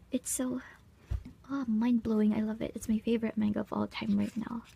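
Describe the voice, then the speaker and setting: A fairly quick, fairly high-pitched woman's voice, somewhat breathy, with a dark, mellow tone and monotone, flat intonation. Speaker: art channel creator. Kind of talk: sketchbook tour narration. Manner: casual.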